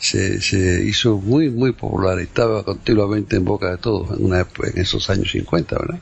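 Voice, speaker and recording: A man's fairly low voice at a moderate pace, with ordinary pitch variation, hardly any pauses and noticeable background noise. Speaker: podcast host. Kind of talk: casual chat.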